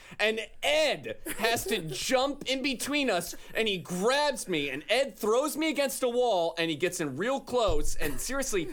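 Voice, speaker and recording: The speaker is a man with an American accent. He talks fairly slowly. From Florida. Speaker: comedian, guest panelist. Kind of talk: casual chat.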